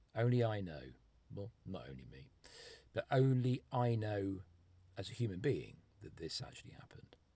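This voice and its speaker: Somewhat breathy and dark, mellow in tone, a man's fairly low voice moves at a moderate pace with very wide pitch swings. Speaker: storyteller vlogger. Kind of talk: personal storytelling monologue.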